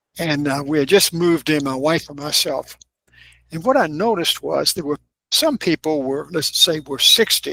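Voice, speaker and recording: A man with a Kentucky accent speaks at a moderate pace and fairly high pitch with ordinary pitch variation, his tone bright and sharp, in a dry, close sound with no echo. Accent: Southern US (Kentucky). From US South, Kentucky (Lexington). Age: 80s+. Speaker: author and filmmaker. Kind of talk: interview.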